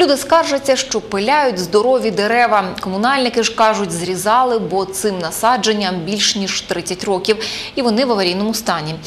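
Over light background noise, a woman uses a normal speaking voice at a moderate pace, with a fairly high pitch and lively intonation. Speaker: news anchor. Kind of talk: news reading. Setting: studio. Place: studio. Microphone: lapel.

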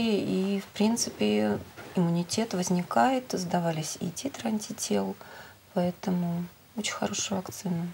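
Noticeable only as light background noise, the setting sits behind a woman speaking at a fairly slow pace. Her pitch variation is ordinary. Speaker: Rospotrebnadzor official; guest. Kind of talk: expert answers in a live TV discussion. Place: studio. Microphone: lapel.

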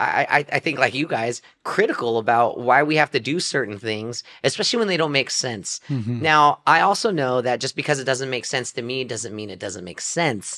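Lively in intonation, a man talks at a moderate pace with hardly any pauses. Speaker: podcast host. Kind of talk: podcast introduction. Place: studio. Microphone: studio mic.

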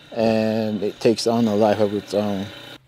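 Noticeable background noise accompanies a man speaking at a medium pitch. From Zuni Pueblo, New Mexico. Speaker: artisan carver. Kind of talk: interview monologue.

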